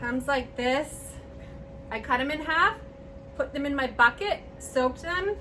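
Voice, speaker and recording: A raised, projected voice at a fairly slow pace, with ordinary pitch variation, long, frequent pauses and noticeable background noise. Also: woman, high pitch for a woman. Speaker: flower arranging channel host. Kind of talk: tutorial. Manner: loud; casual. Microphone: far from the camera.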